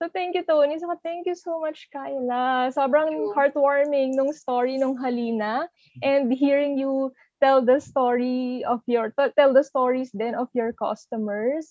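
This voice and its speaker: A woman speaks at a very slow pace. Her pitch is high, with ordinary variation. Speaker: relationship editor, co-host. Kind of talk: podcast chat.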